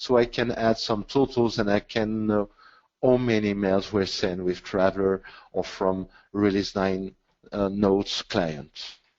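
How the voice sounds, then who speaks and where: In an unremarkable speaking voice, a man talks at a fairly slow pace with a fairly low pitch, fairly even intonation and very even loudness. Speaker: webinar presenter, IT consultant. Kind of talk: technical webinar presentation. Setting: online webinar.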